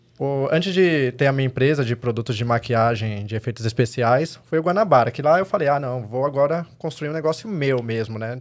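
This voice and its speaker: A man talks in an ordinary speaking voice at medium pitch, fairly quickly and with hardly any pauses, his pitch varying in an ordinary way. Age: 30s. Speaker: makeup artist. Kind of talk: casual chat.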